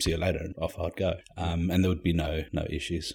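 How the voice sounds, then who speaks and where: Very deep and low in pitch, a man talks in a monotone, flat intonation with a somewhat breathy voice, on a very clean recording with a silent background. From Zimbabwe. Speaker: immigrant interviewee. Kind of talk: casual interview. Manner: conversational, hesitant with fillers.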